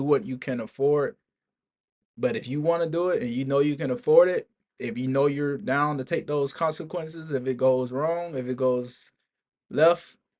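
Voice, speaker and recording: A man's plain, everyday voice, fairly high, with an American accent, a moderate pace and ordinary pitch variation. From Alabama, US South. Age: 20s. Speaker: military service member and vlogger. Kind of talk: casual vlog monologue. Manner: casual, informal with filler words.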